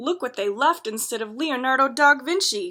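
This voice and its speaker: Here a woman puts on a character voice at a high pitch. She keeps a moderate pace. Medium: read story.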